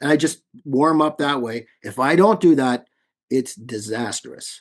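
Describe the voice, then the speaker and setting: The man's pitch is fairly high, with ordinary pitch variation. He speaks at a fairly slow pace. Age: 60s. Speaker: tribute band singer. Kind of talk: interview. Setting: video call.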